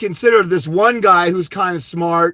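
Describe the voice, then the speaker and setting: A man shouts in a raised, projected voice with a bright, sharp tone, an animated delivery and a fairly quick pace. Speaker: fathers' rights custody advisor. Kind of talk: live stream Q&A. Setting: live on YouTube. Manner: loud, yelling.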